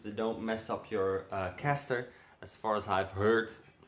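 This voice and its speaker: Speaking fairly slowly in a Dutch accent, a man uses a fairly low pitch with ordinary pitch variation. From Netherlands. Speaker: car enthusiast vlogger. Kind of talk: casual vlog. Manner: hesitant, many fillers.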